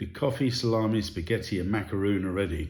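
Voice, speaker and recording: A man speaks in a somewhat breathy voice. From England. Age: 60s. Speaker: hairdresser. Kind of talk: reading word list sentences.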